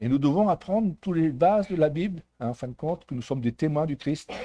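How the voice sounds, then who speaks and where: In a dry, close recording with no echo, a man with a fairly high voice and a dark, mellow tone speaks at a fairly quick pace with very wide pitch swings. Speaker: preacher. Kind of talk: sermon. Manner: stumbling, halting.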